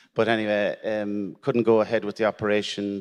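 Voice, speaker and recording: Fairly low in pitch, a man talks with an Irish accent. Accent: Irish, Gaeltacht. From Ireland, Irish-speaking area. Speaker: prostate cancer survivor, panelist. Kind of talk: testimony. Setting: stage with audience. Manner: halting, repeats words.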